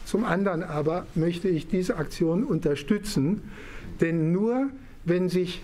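Talking at a fairly slow pace, the man has a dark, mellow tone. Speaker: vaccinated senior citizen. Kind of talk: interview answer. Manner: measured, hesitant. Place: hall. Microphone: studio mic.

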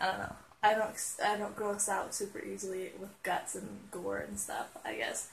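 Female speech against light background noise. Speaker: vlogger. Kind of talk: casual vlog chat. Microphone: earbuds.

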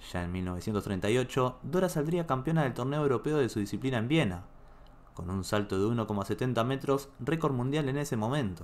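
A man speaks in a dramatic tone at medium pitch. His intonation is lively and his pace moderate. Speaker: video narrator. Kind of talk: true-crime style storytelling narration, grave and suspenseful. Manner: measured, dramatic, steady storyteller pace.

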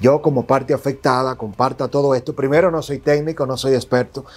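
A man at medium pitch and a moderate pace, faint music in the background. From Dominican Republic. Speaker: political commentator and digital journalist; political commentator, digital journalist. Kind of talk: interview. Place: studio. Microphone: lapel.

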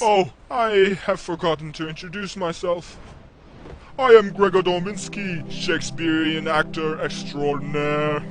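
A high-pitched man with clear background noise. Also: moderate pace. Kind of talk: theatrical stage declamation. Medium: machinima. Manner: grandiose, melodramatic.

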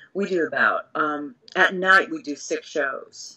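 In a quiet background, a woman with an American accent talks at a fairly low pitch. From grew up partly in Singapore, then US from age seven (New York, Massachusetts). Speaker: TV news anchor. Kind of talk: casual interview. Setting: video call. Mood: relaxed, laughing at times. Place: office. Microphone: video call.

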